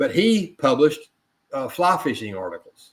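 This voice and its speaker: An ordinary speaking voice from a man, with lively intonation at a moderate pace. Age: 60s. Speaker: author and chemist. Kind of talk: interview conversation. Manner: conversational with self-corrections.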